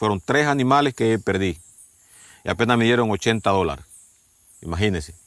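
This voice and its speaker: A man with a fairly low voice at a fairly quick pace, with ordinary pitch variation. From Ecuador. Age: 60s. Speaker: farmer. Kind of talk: documentary interview testimony.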